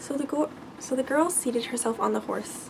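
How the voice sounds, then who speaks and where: Against noticeable background noise, a woman speaks softly. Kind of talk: fairy tale reading. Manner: soft-spoken.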